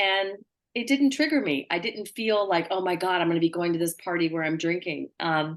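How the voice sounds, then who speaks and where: An unremarkable speaking voice from a woman, fairly low in pitch, with ordinary pitch variation and a fairly quick pace. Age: 60s. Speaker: recovering alcoholic in AA. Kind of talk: sharing in a recovery meeting.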